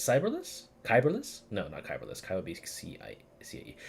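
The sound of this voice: Low male pitch with vocal fry, very wide pitch swings and a fairly quick pace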